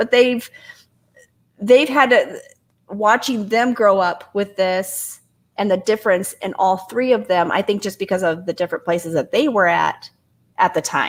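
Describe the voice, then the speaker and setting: At a moderate pace, a woman talks with medium pitch and ordinary pitch variation. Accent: Midwestern US. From Indiana. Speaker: guest living with multiple sclerosis. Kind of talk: casual chat.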